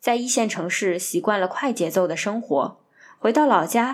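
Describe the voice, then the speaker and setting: The speaker's pitch swings very widely at a moderate pace on a very clean recording with a silent background. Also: woman. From Northeast China, Harbin. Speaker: podcast host. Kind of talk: scripted narration.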